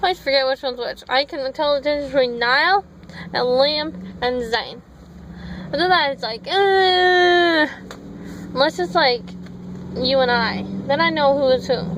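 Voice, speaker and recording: Against noticeable background noise, a woman with a high pitch uses lively intonation and leaves long, frequent pauses. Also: moderate pace. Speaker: vlogger. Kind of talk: casual vlog chat. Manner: mumbles.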